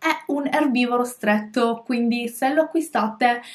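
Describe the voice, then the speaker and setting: A woman talks with lively intonation over a quiet background. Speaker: pet vlogger. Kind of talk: casual vlog chat. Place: home room.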